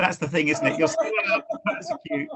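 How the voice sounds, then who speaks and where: A man speaks with an English accent. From England. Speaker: church minister, evangelist. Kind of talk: casual podcast interview.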